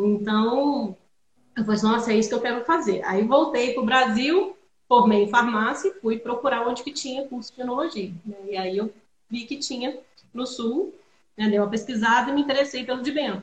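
The speech comes at a moderate pace, with ordinary variation in pitch. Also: woman, high pitch for a woman. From Minas Gerais, Brazil (Juiz de Fora). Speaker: winemaker. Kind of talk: casual chat.

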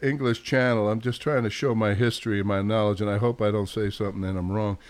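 At a fairly quick pace, a man with a New York accent speaks at medium pitch with fairly even intonation. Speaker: podcast host. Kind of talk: casual sports chat.

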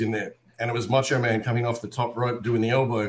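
Somewhat breathy, a man talks at a very fast pace. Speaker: voice impressionist. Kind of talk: casual interview storytelling. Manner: animated.

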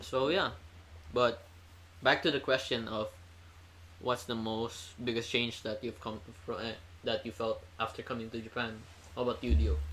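Speaking at a moderate pace with an Indonesian accent, a man uses lively intonation at a medium pitch, with vocal fry and long, frequent pauses. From Indonesia, Jakarta. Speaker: university student. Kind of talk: casual chat.

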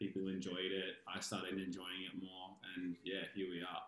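His delivery keeps a moderate pace. The man talks with an Australian accent. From Australia, Canberra (ACT). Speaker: dance studio owner. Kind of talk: interview.

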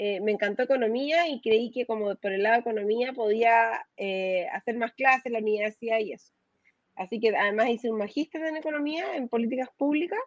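Her voice is high-pitched, and this woman is heard in dry, close sound with no echo. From Chile. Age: 40s. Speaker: fintech manager. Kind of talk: interview. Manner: halting, many fillers and repetitions.

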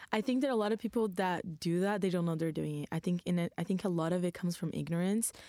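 A woman with a Brazilian accent talks at a very fast pace. Her fairly low voice has a dark, mellow tone and ordinary pitch variation. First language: Portuguese. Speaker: university student. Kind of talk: casual panel discussion.

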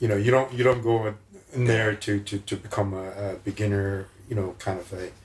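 Amid noticeable background noise, a man speaks fairly quickly in a fairly low, flat monotone. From Mongolia. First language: Mongolian. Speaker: mining professional, jiu-jitsu practitioner. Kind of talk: casual chat.

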